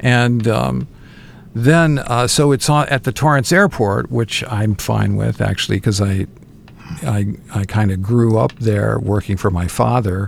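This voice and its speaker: Against noticeable background noise, a man with a fairly low voice speaks fairly slowly with lively intonation. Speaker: radio host. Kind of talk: casual chat. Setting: studio. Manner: teasing, banter.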